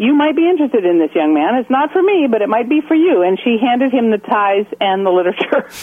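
Over noticeable background noise, a woman with an American accent talks fairly quickly in a fairly high voice that swings very widely in pitch. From US Pacific Northwest, near Portland, Oregon. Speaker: interviewee, religious community member. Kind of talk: interview. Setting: phone call.

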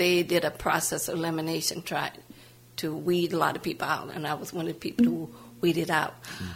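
Vocal fry marks a woman's fairly low voice, delivered in a monotone, flat intonation. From US South, New Orleans, Louisiana. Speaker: civil rights activist. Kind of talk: biographical interview.

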